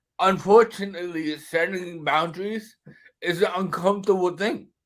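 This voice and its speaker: A man with a high-pitched voice talks at a moderate pace. His pitch varies in an ordinary way. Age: 30s. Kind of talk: casual chat.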